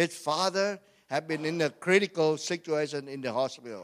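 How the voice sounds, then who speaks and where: A man with a Vietnamese accent talks in an animated tone. His pace is moderate. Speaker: pastor. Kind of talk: sermon. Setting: church.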